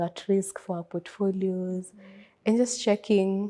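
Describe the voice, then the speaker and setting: A soft-spoken woman's medium-pitched voice, dark and mellow in tone, in a monotone, flat intonation at a fairly slow pace. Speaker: risk analyst. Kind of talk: interview. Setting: event.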